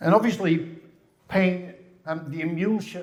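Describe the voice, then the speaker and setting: Audible room echo surrounds a man with a Dutch accent who speaks at a fairly slow pace with ordinary pitch variation. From Netherlands. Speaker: physiotherapist. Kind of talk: conference lecture. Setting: stage with audience. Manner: halting, with repetitions.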